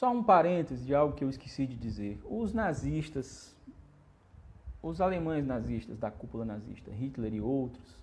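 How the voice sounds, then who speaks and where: Somewhat breathy at a medium pitch, a man speaks at a moderate pace with lively intonation. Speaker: spiritist lecturer. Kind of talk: lecture. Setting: livestream.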